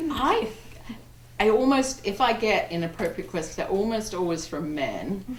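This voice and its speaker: Through audible room echo and noticeable background noise, a woman speaks at a moderate pace with a fairly high pitch that makes very wide swings. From England, Wiltshire. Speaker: romance novelist. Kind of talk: panel discussion. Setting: bookstore event with audience. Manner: halting.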